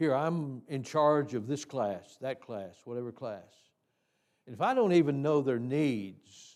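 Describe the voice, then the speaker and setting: Speaking at a fairly slow pace with lively intonation and big swings in loudness, a man with medium pitch comes through on a very clean recording with a silent background. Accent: Tennessee. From US South, Tennessee hills. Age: 80s+. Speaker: Sunday school teacher trainer. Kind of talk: teaching seminar in church. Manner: halting, many fillers and repeats.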